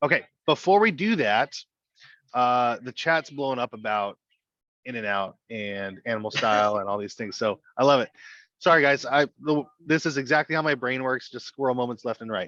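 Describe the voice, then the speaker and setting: The voice has a bright, sharp tone and ordinary pitch variation at a moderate pace. The sound is dry and close with no echo, over a quiet background. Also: man, medium pitch for a man. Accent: American. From Southern California. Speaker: financial coaching director. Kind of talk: webinar hosting.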